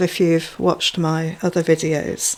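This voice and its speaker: This is a woman talking. Her pace is fairly slow. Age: 60s. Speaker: amateur recorder player and video blogger. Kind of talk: casual vlog talk. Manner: hesitant, with many fillers.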